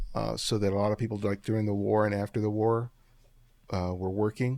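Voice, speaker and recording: A man with a Californian accent and a fairly low pitch, with a dark, mellow tone, fairly even intonation, a moderate pace, and a very clean recording with a silent background. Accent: Californian American English. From Los Angeles (South LA), Dominican family. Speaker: street photographer and teacher. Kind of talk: interview conversation.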